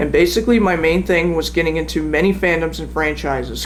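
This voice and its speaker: A man speaks at a fairly quick pace. The recording has audible room echo and noticeable background noise. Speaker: YouTuber telling personal story. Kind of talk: personal account read from a script. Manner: halting, stumbles over words.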